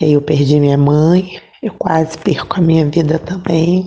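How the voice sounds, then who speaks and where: A woman speaks in a very deep, low pitch with a dark, mellow tone and somewhat breathy delivery. Her pace is fairly slow and her intonation fairly even. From Rio de Janeiro, Brazil (Nilópolis). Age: 30s. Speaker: lay missionary and teacher. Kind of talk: interview testimony.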